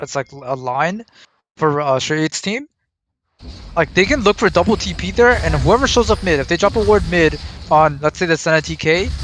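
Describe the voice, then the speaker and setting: Lively intonation from a man at a fairly high pitch, moving at a moderate pace. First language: Arabic. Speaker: esports caster. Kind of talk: live commentary. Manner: animated.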